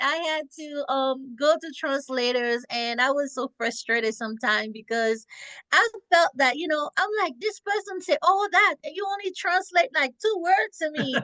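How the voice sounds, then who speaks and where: With a strong French accent, a woman speaks in a high, raised, projected voice with a bright, sharp tone and very wide pitch swings. Her pace is fairly slow, and the sound is dry and close with no echo. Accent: thick French. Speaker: podcast host. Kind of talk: interview. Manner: talkative.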